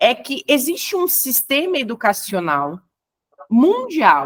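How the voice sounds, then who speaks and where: A woman talks with a Brazilian accent. Her pitch swings very widely. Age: 30s. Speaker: educator. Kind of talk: lecture.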